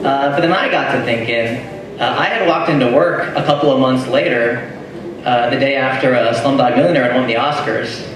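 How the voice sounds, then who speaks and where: Animated and fairly quick, the speaker uses an American accent with ordinary pitch variation and very even loudness, amid audible room echo and noticeable background noise. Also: man. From California. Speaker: stand-up comedian. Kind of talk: stand-up comedy set, crowd banter and jokes. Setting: live comedy club with audience. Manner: casual, chatty, conversational; animated, joking with the audience. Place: bar. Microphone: camera far.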